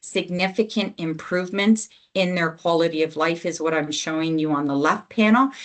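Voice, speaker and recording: A woman with a fairly low pitch and ordinary pitch variation has an unremarkable speaking voice. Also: moderate pace. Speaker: health program lead presenting to physicians. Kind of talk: webinar presentation with slides.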